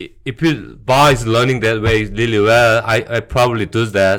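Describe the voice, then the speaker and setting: On a very clean recording with a silent background, a man with a Korean accent speaks at a fairly slow pace. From South Korea, Busan. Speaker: bar owner. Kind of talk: casual interview chat. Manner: halting.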